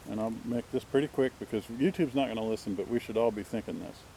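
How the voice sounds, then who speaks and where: A man is speaking against noticeable background noise. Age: 60s. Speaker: vlogger. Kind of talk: casual monologue. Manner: rambling, halting.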